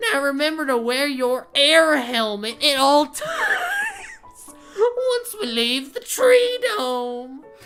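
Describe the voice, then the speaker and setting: In a put-on character voice, a female-sounding speaker talks loudly and shrilly at a high pitch, with very wide pitch swings, a very slow pace and hardly any pauses, while music plays in the background. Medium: game stream.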